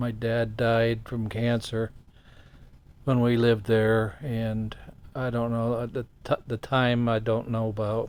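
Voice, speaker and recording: A man with a Midwestern American accent talks very slowly at a medium pitch, his intonation monotone and flat. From Ohio, US Midwest. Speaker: host's father, guest. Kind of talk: interview storytelling.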